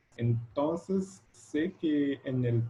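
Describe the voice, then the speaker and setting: This man speaks with ordinary pitch variation. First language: Portuguese (speaking Spanish). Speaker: educational technology researcher. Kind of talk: lecture. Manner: halting.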